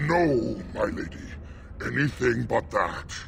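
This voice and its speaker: A man's put-on character voice, intense in tone, fairly slow, over clear background noise. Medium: video game. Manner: gruff, intense.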